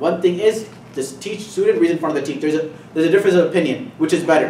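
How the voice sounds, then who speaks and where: A man talks at a very fast pace with lively intonation. The recording carries audible room echo and noticeable background noise. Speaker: Islamic teacher. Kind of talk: lecture.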